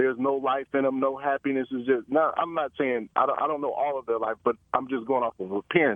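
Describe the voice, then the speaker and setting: A man with an unremarkable speaking voice talks at a fairly quick pace and medium pitch, with hardly any pauses. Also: fairly even intonation. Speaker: caller. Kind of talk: phone call discussion. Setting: phone call.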